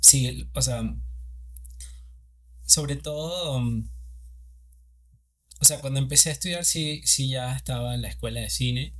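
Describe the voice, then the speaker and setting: A man speaks with a Venezuelan Andean accent. His pace is fairly slow, broken by long, frequent pauses. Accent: Venezuelan Andean (Mérida), unlike Caracas. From Venezuela, Mérida (Andes). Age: 30s. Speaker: cinematographer. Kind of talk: interview. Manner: halting, many fillers.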